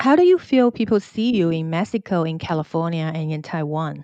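A woman's fairly low, dark, mellow voice against a quiet background. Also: dry, close sound with no echo. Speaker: podcast host. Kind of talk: interview.

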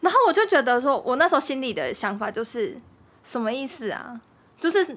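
The woman's high voice swings very widely in pitch as she talks fairly quickly over noticeable background noise. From Taiwan, Kaohsiung. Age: 20s. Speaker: host's partner. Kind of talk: casual chat.

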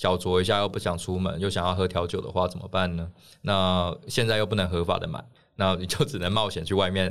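Fairly quick in pace, a man talks in a very deep, low voice. The recording is very clean and the background silent. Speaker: political candidate. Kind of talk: casual chat.

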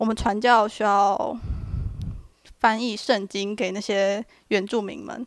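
In a very clean recording with a silent background, a woman talks at a fairly high pitch with fairly even intonation. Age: 20s. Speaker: student podcast co-host. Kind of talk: reading prepared notes.

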